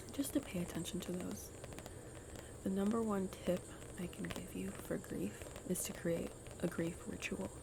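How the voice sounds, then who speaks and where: Noticeable noise runs in the background. The speaker is whispering. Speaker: grief worker. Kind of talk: ASMR soft-spoken ramble. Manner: soft-spoken.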